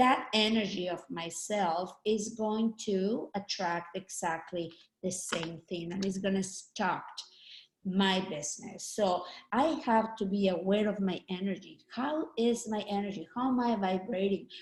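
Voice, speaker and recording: Speaking at a fairly slow pace, a woman with a slight Mexican accent has a medium pitch and ordinary pitch variation. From Mexico. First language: Spanish. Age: 50s. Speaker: network marketing trainer. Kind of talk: training talk. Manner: halting.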